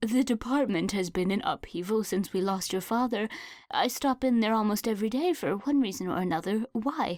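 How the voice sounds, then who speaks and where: Using a put-on character voice, a woman speaks at a fairly quick pace in a fairly high, shaky voice with lively intonation. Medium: read story. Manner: fretful, solicitous.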